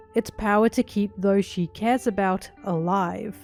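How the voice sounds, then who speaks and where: A woman with a medium pitch speaks at a moderate pace while music plays in the background. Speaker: anime video essayist. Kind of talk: video essay narration.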